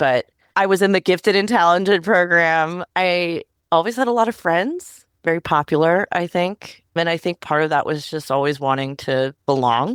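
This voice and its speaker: A woman talks at a moderate pace with an American accent, in a normal speaking voice with fairly low pitch and lively intonation. The recording is very clean with a silent background and a dry, close sound with no echo. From US, Northern Virginia. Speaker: tech policy professional. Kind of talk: interview. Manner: casual, conversational.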